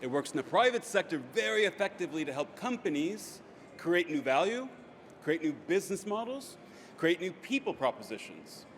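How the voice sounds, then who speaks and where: The speech moves at a fairly quick pace, with lively intonation. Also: man. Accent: American. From United States. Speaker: business strategy consultant. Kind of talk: conference talk.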